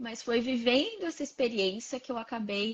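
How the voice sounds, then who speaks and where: With a normal speaking voice, a woman keeps a moderate pace, her pitch fairly high and varying in an ordinary way. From Brazil, Santos (São Paulo). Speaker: psychologist. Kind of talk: casual interview. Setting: live stream video call.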